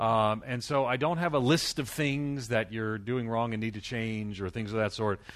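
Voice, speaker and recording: A man with an American accent speaks in a normal speaking voice at medium pitch, moving at a moderate pace with ordinary pitch variation and hardly any pauses. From United States. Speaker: church planting researcher and pastor. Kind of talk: conference lecture.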